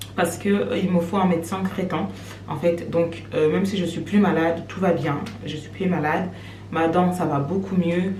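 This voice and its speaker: Her voice sits fairly low, with ordinary pitch variation. The woman is heard with audible room echo and noticeable background noise. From Cameroon. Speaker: vlogger. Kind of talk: casual vlog talk to camera. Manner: fast.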